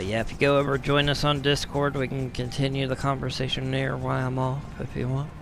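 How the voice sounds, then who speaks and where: The speech moves at a fairly quick pace with hardly any pauses over noticeable background noise. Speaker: gaming streamer. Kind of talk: live gameplay commentary. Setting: live stream. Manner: casual, conversational.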